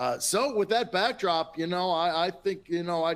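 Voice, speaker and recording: A man's voice, fairly high in pitch, moves at a moderate pace. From Minnesota. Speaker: industry analyst. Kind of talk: webinar panel talk. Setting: webinar.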